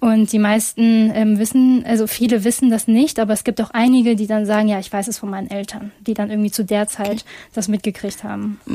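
Her dark, mellow tone, fairly high pitch, and somewhat breathy quality mark this woman's voice. She speaks fairly quickly in a monotone, flat intonation, in a very clean recording with a silent background. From Germany, Essen (Ruhr area), Chinese family. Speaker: campus radio host. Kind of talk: casual talk show discussion.

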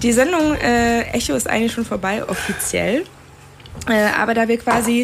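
A woman with a fairly high pitch and ordinary pitch variation talks at a moderate pace, noticeable background noise behind her. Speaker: student radio host. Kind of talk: interview.

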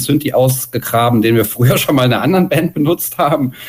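This man's voice shows ordinary pitch variation. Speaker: punk musician. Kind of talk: interview. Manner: loud.

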